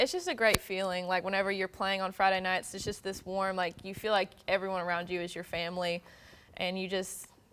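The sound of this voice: A woman speaks at a fairly quick pace with fairly even intonation, a medium pitch, and a clear, smooth, fairly bright tone.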